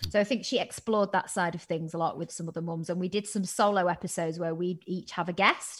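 A woman's fairly low, somewhat breathy voice at a very fast pace, with fairly even intonation and hardly any pauses. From northern England. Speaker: TV presenter and podcaster. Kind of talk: casual interview chat. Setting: video call.

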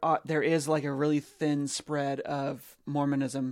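Speaking at a very slow pace, a man with an American accent has a fairly high pitch. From Oregon, US Pacific Northwest. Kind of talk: casual interview conversation.

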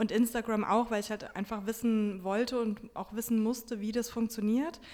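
In a monotone, flat intonation, a woman talks at a fairly quick pace. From Germany, Wiesbaden (Hesse). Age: 30s. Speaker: book blogger and journalist. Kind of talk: interview.

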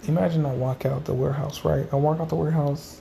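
A man speaks at a very fast pace with lively intonation and a medium pitch. His tone is dark and mellow, and somewhat breathy. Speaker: podcaster vlogging about his life. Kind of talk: casual solo monologue, diary-style. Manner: casual, rambling, stream-of-consciousness.

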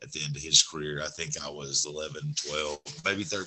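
In a Southern US accent, a man with a very deep, low pitch talks at a fairly quick pace in a monotone, flat delivery. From Alabama. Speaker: sports podcast co-host. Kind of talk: casual sports chat.

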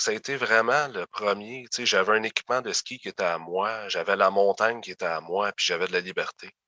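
Bright and sharp in tone, a man speaks at a fairly low pitch with ordinary pitch variation and hardly any pauses. The sound is dry and close, with no echo. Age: 30s. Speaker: former youth protection placement survivor. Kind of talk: interview testimony.

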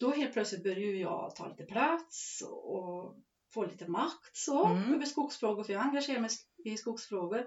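A plain, everyday voice belongs to a woman with fairly high pitch. She speaks at a moderate pace with lively intonation. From Värmland, Sweden. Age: 50s. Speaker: forest owner and farmer. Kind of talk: interview.

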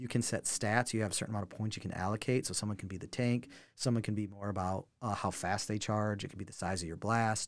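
In a very clean recording with a silent background, a man with a fairly low pitch rushes along at a very fast pace with hardly any pauses. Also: fairly even intonation. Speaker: game company rep. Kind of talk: casual interview.

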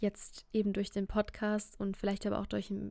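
On a very clean recording with a silent background, a woman with a fairly high pitch and a dark, mellow tone speaks at a moderate pace. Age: 20s. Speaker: podcast host, singer-songwriter. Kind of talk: solo podcast monologue. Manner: casual with many fillers.

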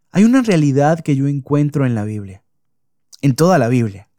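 A man's fairly high voice with a dark, mellow tone, very wide pitch swings and a moderate pace, in dry, close sound with no echo. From Venezuela. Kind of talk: devotional podcast monologue. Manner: hesitant, many fillers and repetitions.

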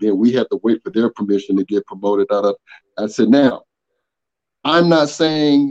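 A man with an Atlanta accent, dark and mellow in tone, at a moderate pace with ordinary pitch variation, in a dry, close sound with no echo. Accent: Southern US (Atlanta). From US South, Atlanta, Georgia. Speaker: online community member, corporate manager. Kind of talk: interview, casual chat.

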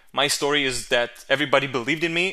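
Against a quiet background, a man with an Israeli accent speaks at a moderate pace, his fairly high-pitched voice bright and sharp in tone and his intonation fairly even. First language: Hebrew. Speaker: videographer. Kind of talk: solo podcast monologue. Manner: hesitant, with fillers and repetitions.

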